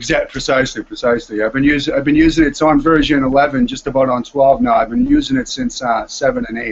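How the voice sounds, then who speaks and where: Talking at a very fast pace with a Boston accent, a man speaks with hardly any pauses. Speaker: music producer and composer. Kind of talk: casual chat. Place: home room. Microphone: video call.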